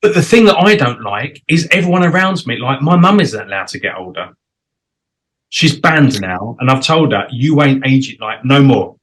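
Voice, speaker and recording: Pitched fairly high for a man, this male voice shows vocal fry and very wide pitch swings. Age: 40s. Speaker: talk show host. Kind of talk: casual interview chat.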